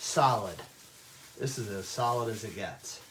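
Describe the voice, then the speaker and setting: Noticeable background noise and audible room echo surround a man talking at a moderate pace with ordinary pitch variation. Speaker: chef teaching a cooking class. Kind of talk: cooking tutorial. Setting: virtual class from home. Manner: loud.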